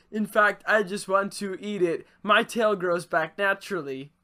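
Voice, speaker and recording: At a moderate pace, a man puts on a character voice pitched high. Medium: actual play. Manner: formal, old-fashioned phrasing.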